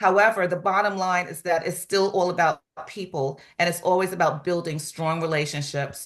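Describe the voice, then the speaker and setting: In a normal speaking voice, a woman talks at a moderate pace with fairly low pitch, fairly even intonation and hardly any pauses against a quiet background. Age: 60s. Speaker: real estate office manager. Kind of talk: testimony.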